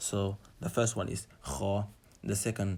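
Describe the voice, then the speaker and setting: A man's somewhat breathy voice moves at a fairly slow pace with monotone, flat intonation. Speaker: Quran reading teacher. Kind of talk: tutorial.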